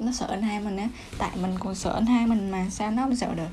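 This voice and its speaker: A woman talking at a very fast pace with ordinary pitch variation, audible room echo and music in the background. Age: 20s. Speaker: podcaster. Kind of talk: casual monologue.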